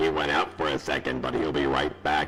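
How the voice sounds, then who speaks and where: A man puts on a character voice with a very deep, low pitch. Loud background noise runs underneath him. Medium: read story.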